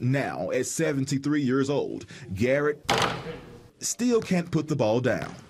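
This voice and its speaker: Noticeable background noise sits behind a man with a fairly high voice. He speaks very slowly, with lively intonation and very even loudness. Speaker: TV news reporter. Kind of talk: TV news report.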